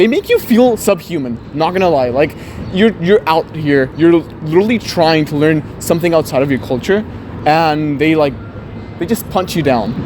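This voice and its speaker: A man's fairly high voice, lively intonation, and moderate pace, with noticeable background noise. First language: Spanish. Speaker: interviewee. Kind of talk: street interview. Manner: hesitant, many fillers.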